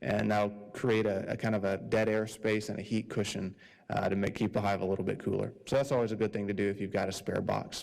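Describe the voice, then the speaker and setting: With vocal fry and fairly low pitch, a man talks at a very fast pace in fairly even intonation. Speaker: beekeeping club speaker. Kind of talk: club meeting presentation.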